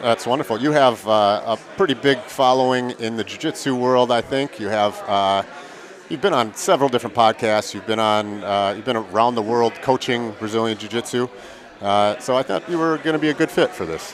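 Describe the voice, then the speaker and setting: At a fairly quick pace, a man with an Upper Midwest accent speaks at a medium pitch with ordinary pitch variation. There is noticeable background noise. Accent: Upper Midwest American. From Milwaukee, Wisconsin. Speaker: gym owner and event commentator. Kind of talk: live commentary banter.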